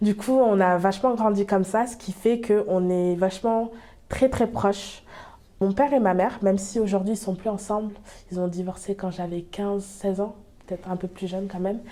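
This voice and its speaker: A woman speaks at medium pitch with a dark, mellow tone. Her intonation stays fairly even. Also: moderate pace. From France, Bordeaux. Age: 20s. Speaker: small business owner. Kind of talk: interview. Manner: hesitant, many fillers.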